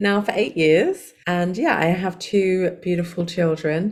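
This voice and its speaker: The speaker is a woman with a medium pitch. She talks at a fairly slow speed. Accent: English. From England. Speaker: life coach and hypnotherapist. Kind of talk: podcast interview.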